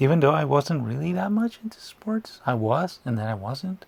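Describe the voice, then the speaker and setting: A man's somewhat breathy, medium-pitched voice moves along at a moderate pace. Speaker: comic book reader. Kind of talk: casual talk to camera. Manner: sarcastic, joking.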